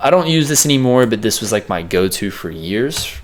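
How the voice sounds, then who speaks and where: Noticeable background noise sits under a man whose pitch varies in an ordinary way. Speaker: music producer. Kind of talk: tutorial. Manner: fast; casual, filler words.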